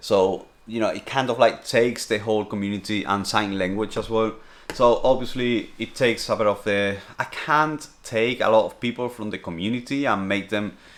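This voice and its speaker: Speaking with a Spanish accent, a man keeps a moderate pace, a medium pitch and fairly even intonation. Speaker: streamer and vlogger. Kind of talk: casual Q&A vlog.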